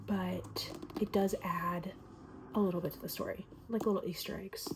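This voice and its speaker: Soft-spoken and fairly slow, a woman talks over noticeable background noise. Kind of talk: ASMR book review.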